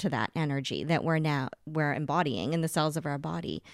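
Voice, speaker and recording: A woman with an American accent speaks in an ordinary speaking voice at a fairly low pitch, keeping a moderate pace and fairly even intonation, with a dry, close sound, no echo, and a very clean recording over a silent background. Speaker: spirit medium. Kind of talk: casual chat.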